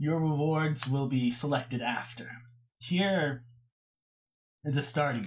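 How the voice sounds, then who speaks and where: Long, frequent pauses break up the delivery. The put-on character voice sits at a low-to-middle pitch. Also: moderate pace. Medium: actual play. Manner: grave, measured.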